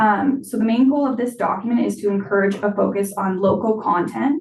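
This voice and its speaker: With a plain, everyday voice, a woman talks at medium pitch and a moderate pace with lively intonation. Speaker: library staff presenter. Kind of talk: presentation at board meeting. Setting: board meeting.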